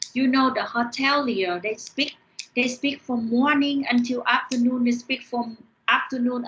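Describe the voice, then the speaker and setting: A woman with a Vietnamese accent speaks in a high pitch with fairly even intonation. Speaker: university lecturer. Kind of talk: online lecture. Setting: online class via screen share. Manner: halting, with repeated words.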